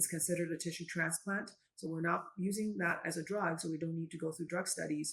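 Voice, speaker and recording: Fairly quick, somewhat breathy speech from a woman, fairly low in pitch and monotone with flat intonation. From China. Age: 50s. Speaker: physician. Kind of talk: interview.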